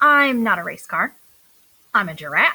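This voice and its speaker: A woman's put-on character voice with very wide pitch swings at a moderate pace. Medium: read story. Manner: playful, dramatic.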